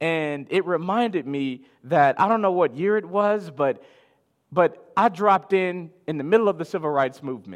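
A man's high-pitched voice with an American accent, lively intonation and a moderate pace. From Chicago, US. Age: 30s. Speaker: pastor. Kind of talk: sermon. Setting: live stream.

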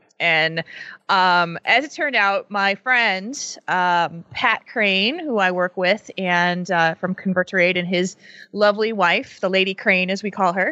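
A woman talks at a fairly slow pace in a plain, everyday voice. Her pitch is medium, with ordinary pitch variation. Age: 40s. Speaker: podcast co-host. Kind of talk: casual chat.

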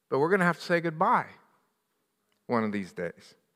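A man's raised, projected voice with a bright, sharp tone and very wide pitch swings, on a very clean recording with a silent background. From US, western Pennsylvania (Johnstown). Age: 60s. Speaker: pastor. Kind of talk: sermon.

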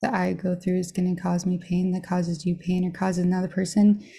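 Over a very clean recording with a silent background, a woman with an American accent speaks fairly quickly in a monotone, flat intonation, her medium-pitched voice somewhat breathy with a dark, mellow tone. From Arizona. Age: 30s. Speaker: chronic pain recovery interviewee. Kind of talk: testimony.

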